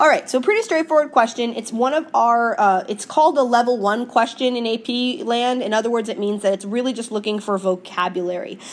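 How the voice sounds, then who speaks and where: High-pitched and animated in tone, a woman speaks at a moderate pace with lively intonation. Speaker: high school teacher. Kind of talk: recorded lecture. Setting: screencast video.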